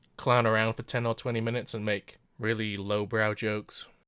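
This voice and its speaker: A man speaks at a medium pitch in a monotone, flat intonation. The recording is very clean with a silent background, and the sound is dry and close with no echo. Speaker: anime reviewer. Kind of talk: scripted commentary. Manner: droning.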